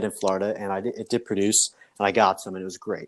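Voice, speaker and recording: This man speaks with an American accent. The recording is very clean, with a silent background. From New Jersey. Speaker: fishing podcast host. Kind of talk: casual chat.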